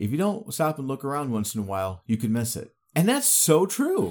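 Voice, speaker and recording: A man with a medium-pitched voice talks at a moderate pace in an animated tone, with very wide pitch swings. The recording is very clean, with a silent background. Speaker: podcast host. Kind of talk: casual chat podcast banter. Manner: joking, animated.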